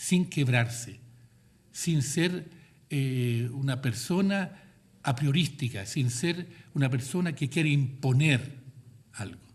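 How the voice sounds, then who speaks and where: There is audible room echo as a man speaks very slowly in a somewhat breathy voice. His pitch is fairly high, with ordinary variation. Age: 80s+. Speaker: cultural manager and artist giving a guest talk. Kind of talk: lecture.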